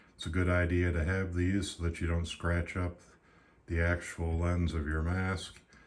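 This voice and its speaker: A man with a very deep, low voice talks at a fairly slow pace, somewhat breathy, in a monotone, flat delivery. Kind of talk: casual product review to camera.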